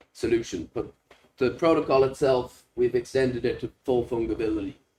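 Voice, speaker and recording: A man of medium pitch speaks with a Dublin accent, his tone dark and mellow, somewhat breathy, with fairly even intonation. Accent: Irish (Dublin). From Ireland, Dublin. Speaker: software developer presenting a hackathon project. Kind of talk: project demo presentation. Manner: hesitant, many fillers.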